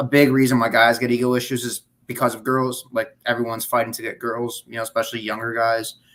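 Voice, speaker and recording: Speaking at a very fast pace with hardly any pauses, a man with a Chicago accent has a medium pitch and monotone, flat intonation. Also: big swings in loudness. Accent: Chicago American English. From US Midwest, Chicagoland. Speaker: gym and grappling buddy. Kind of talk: casual chat. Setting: livestream.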